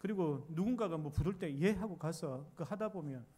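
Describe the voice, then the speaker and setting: A man with a slight Busan accent, fairly high-pitched and dark, mellow in tone, at a moderate pace with ordinary pitch variation, in audible room echo. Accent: slight Gyeongsang (Busan) dialect. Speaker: pastor. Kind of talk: sermon.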